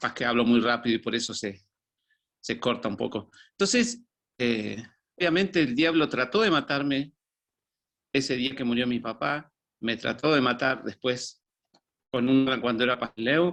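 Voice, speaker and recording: A man talks at a moderate pace with ordinary pitch variation, leaving long, frequent pauses. The background is quiet. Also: medium pitch for a man. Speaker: former pastor. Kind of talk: testimony.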